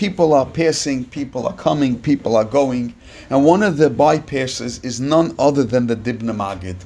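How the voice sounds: Pitch varies by an ordinary amount in this natural reading voice.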